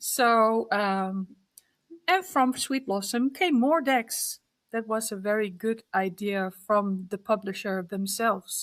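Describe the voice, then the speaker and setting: Very slowly, a woman with a Dutch accent speaks at a fairly high pitch with ordinary pitch variation, in a very clean recording with a silent background. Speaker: card deck artist. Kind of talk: interview. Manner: halting.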